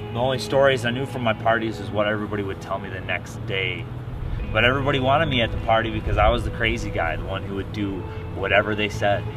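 Music plays behind a man speaking at a very fast pace. His pitch is fairly low and his intonation fairly even. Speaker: testimony giver. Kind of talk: personal testimony, a reflective confessional recounting. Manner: casual, conversational, plain-spoken.

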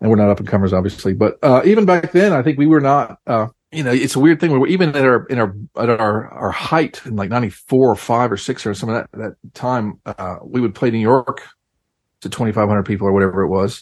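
With an American accent, a man speaks at a fairly quick pace in an unremarkable speaking voice, his intonation lively. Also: medium pitch for a man. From North Carolina. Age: 50s. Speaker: indie rock musician. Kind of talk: casual interview. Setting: remote call from home.

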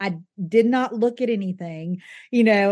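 Against a quiet background, a woman talks in a Southern US accent. Her pitch sits fairly high. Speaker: wedding venue owner and consultant. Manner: chatty, candid.

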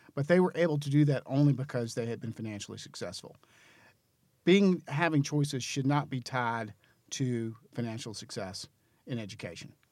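A man with an American accent has a plain, everyday voice at a medium pitch and lively intonation. The recording is very clean, with a silent background. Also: moderate pace. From North Carolina, Greensboro. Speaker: charter schools association director. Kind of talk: interview.

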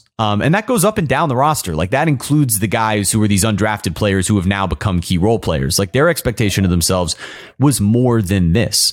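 With an American accent, this is a normal speaking voice at a fairly quick pace, with lively intonation and very even loudness. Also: man, fairly low pitch for a man. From South Florida. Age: 20s. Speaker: sports broadcaster and podcast host. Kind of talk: casual chat. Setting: video podcast.

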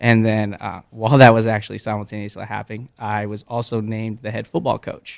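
A fairly quick delivery in an unremarkable speaking voice. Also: man. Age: 20s. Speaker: high school basketball coach. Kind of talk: interview. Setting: studio.

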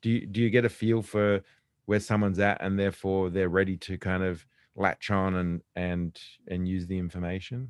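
Against a quiet background, a man with a very deep, low pitch speaks at a moderate pace in a dry, close sound with no echo. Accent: Australian. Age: 50s. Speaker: podcast host, business executive. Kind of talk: interview. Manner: enthusiastic.

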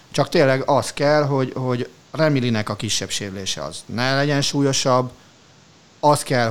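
A man speaks with a medium pitch and ordinary pitch variation. His pace is moderate. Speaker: sports podcast co-host. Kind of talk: casual chat. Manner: animated.

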